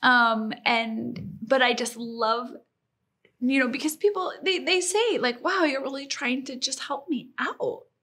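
A raised, projected voice with an American accent and lively intonation. The tone is bright and sharp, and the pace is fairly slow. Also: woman, high pitch for a woman. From Colorado. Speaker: small business owner. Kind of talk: interview.

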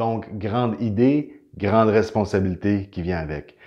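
A man with a Quebec accent and a fairly low pitch speaks at a fairly slow pace with ordinary pitch variation against a quiet background. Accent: Québécois French. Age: 40s. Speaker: inventor and energy healing practitioner. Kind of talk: inspirational testimony to camera. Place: home room. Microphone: camera far.

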